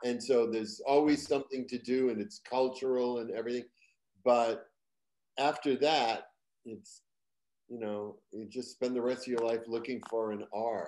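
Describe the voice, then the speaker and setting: A man with an American accent speaks at a moderate pace. His tone is dark and mellow. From Boston area, Massachusetts. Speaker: stand-up comedian and TV writer. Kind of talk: casual interview. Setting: video call. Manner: animated storyteller. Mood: jokey storytelling. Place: home room.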